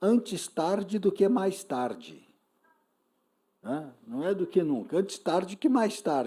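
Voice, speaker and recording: The speech is very slow, broken by long, frequent pauses. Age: 60s. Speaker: panel speaker. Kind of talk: panel discussion. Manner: animated.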